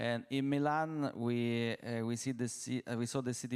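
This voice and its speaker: With an Italian accent, a man speaks in a monotone, flat way at medium pitch, on a very clean recording with a silent background. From Italy. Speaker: company CEO, panelist. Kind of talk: panel discussion. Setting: stage with audience. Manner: halting, many fillers.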